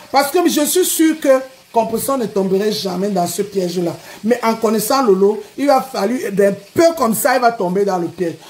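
The delivery has lively intonation and an animated tone. It moves at a moderate pace. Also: woman. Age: 40s. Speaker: social media personality; live streamer. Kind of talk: live stream rant. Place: home room. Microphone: phone near.

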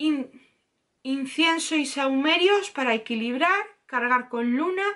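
A woman's high, bright, sharp voice with lively intonation against a quiet background. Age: 30s. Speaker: YouTuber, tarot teacher. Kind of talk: tutorial. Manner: animated. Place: home room. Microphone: webcam.

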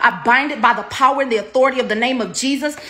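Talking very fast, a woman uses an intense, passionate tone with a high pitch and fairly even intonation. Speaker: prayer minister. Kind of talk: fervent prophetic intercessory prayer, commanding and decreeing over viewers. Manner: intense, declarative, rapid-fire repetitive invocations; passionate, exclamatory outbursts mid-prayer. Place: home room. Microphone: phone near.

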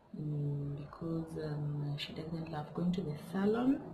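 Noticeable background noise runs behind a woman speaking at a fairly slow pace. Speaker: hair vlogger. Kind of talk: casual vlog chat. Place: home room. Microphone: phone near.

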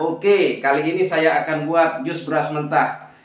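A man talks fairly slowly, and the room around him echoes audibly. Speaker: mukbang vlogger. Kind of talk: casual talk to camera. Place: home room.

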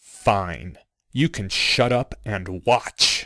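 A man speaks in a put-on character voice with fairly low pitch. His intonation is lively, and the sound is dry and close with no echo. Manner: cold, curt.

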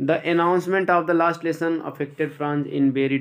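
Here a man with an ordinary speaking voice keeps his intonation fairly even. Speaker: English teacher. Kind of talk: lecture.

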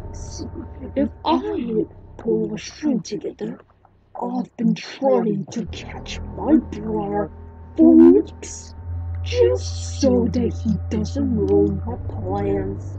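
A man talks very slowly in a fairly low voice. Faint music plays in the background. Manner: irritated, scheming.

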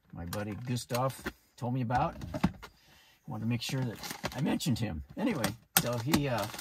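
Loud noise fills the background. Through it, a man talks at a moderate pace. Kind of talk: casual tutorial. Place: car. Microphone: phone near.

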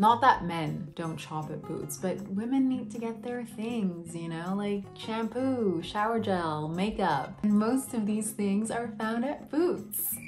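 Clear music plays behind a woman with an American accent whose intonation is lively. She talks at a very slow pace with hardly any pauses. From Vienna, Austria. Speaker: YouTuber. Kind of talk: casual talk to camera. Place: home room.

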